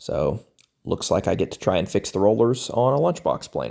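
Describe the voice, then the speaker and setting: A man's dark, mellow tone comes through a very clean recording against a silent background. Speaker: woodworking YouTuber. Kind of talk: tutorial voiceover narration. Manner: casual, self-deprecating.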